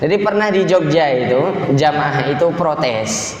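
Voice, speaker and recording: Noticeable background noise and audible room echo accompany a man whose pitch sits fairly high. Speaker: Islamic preacher. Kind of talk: sermon. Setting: mosque.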